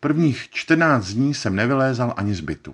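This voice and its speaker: Over a quiet background, a man speaks at a very slow pace. His pitch is medium and his intonation lively. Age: 40s. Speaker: actor. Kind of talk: personal testimony narration.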